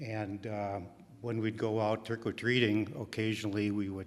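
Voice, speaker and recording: A man with an Upper Midwest accent speaks at a fairly low pitch. His pace is moderate. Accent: Upper Midwest American. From Milwaukee, Wisconsin, US Midwest. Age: 70s. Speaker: storyteller. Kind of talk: live storytelling. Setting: stage with audience. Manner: halting, many fillers.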